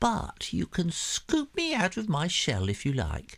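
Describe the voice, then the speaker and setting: On a very clean recording with a silent background, a man puts on a high-pitched character voice and speaks at a fairly slow pace. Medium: read story. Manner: teasing.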